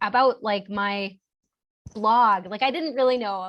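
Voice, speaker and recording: At a moderate pace, a woman speaks in an animated tone. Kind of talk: interview. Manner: animated, lots of fillers.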